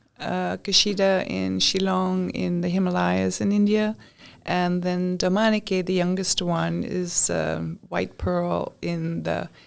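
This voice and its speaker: A woman speaks at a fairly slow pace in a very clean recording with a silent background. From Europe, raised in many countries. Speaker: podcast guest. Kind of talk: interview. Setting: studio.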